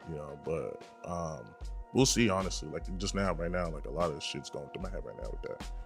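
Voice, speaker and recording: The speaker has an American accent and talks at a fairly quick pace. Music plays in the background. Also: man. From Brockton, Massachusetts. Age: young. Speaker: rapper. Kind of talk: interview answer.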